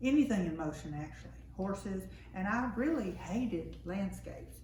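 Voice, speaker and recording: Woman with a Tennessee accent at a moderate pace, with noticeable background noise and audible room echo. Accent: US Southern (Tennessee). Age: 70s. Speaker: acrylic painter. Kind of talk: casual interview. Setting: artist's home.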